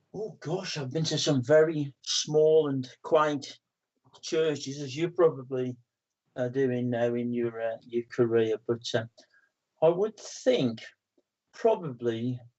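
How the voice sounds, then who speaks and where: A man with a West Midlands accent, fairly high in pitch, at a very slow pace with long, frequent pauses. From West Midlands, England. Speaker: spiritualist medium and author. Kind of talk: interview. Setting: studio.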